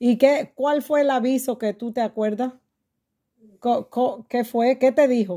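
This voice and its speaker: A woman speaks at a high pitch and a very slow pace. Her tone is dark and mellow. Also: fairly even intonation. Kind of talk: interviewer questions.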